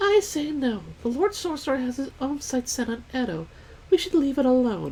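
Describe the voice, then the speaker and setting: The speaker uses a put-on character voice with very wide pitch swings. The pace is moderate, and clear background noise can be heard. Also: woman, high pitch for a woman. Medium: game stream.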